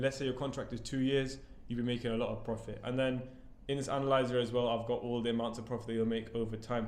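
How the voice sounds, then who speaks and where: A man talks at a very fast pace with a medium pitch. His intonation stays fairly even, and the room echo is audible. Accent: British. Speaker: property business owner. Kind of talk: tutorial.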